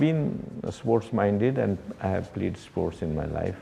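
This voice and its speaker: A fairly low-pitched male voice at a fairly slow pace, with very wide pitch swings. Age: 70s. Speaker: media and sports administrator. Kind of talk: interview. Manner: halting, many fillers.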